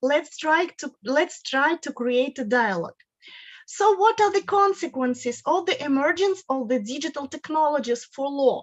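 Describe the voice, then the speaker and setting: A woman with a Russian accent, high-pitched and lively in intonation, at a moderate pace, in a dry, close sound with no echo. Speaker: guest lecturer on law. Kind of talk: lecture. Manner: halting, with repetitions.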